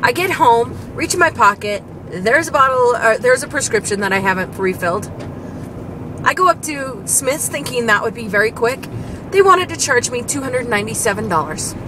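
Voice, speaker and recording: Speaking at a fairly quick pace, a woman with a high pitch comes through in a dry sound with no echo, over noticeable background noise. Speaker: vlogger. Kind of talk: casual vlog chat. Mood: annoyed, frustrated. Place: car. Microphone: phone near.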